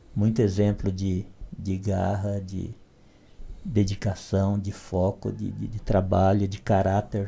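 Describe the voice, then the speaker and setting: The voice is somewhat breathy with a dark, mellow tone, moving at a very slow pace with monotone, flat intonation and long, frequent pauses. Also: man. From Brazilian Northeast, southern Ceará backcountry. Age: 60s. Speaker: literature PhD, evangelical. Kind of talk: podcast interview, life story.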